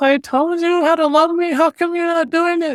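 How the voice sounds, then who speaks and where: In a put-on character voice, the speaker sounds whiny at an extremely high pitch and a moderate pace. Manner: self-pitying, complaining.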